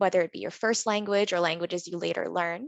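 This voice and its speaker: A woman speaks with a Canadian accent. The sound is dry and close, with no echo. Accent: very Canadian. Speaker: engineer and workshop facilitator. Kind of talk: interactive workshop presentation. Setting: virtual conference.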